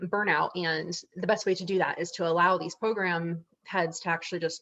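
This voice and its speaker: Speaking at a fairly quick pace, a woman has a fairly low pitch, a bright, sharp tone, and fairly even intonation. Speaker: volunteer chapter leader. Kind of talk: presentation on a video call. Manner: fast.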